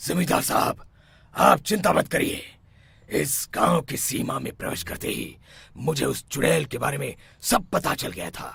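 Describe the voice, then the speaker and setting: In a raspy, cartoonish character voice, a man with a medium pitch speaks at a moderate pace with very wide pitch swings and big swings in loudness. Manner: assured, commanding.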